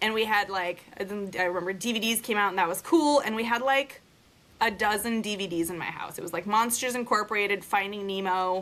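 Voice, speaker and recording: At a fairly quick pace, a woman speaks in a normal speaking voice, medium in pitch with ordinary pitch variation. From Russia, moved to the US at five. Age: 30s. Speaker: podcast host, mother. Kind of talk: casual chat.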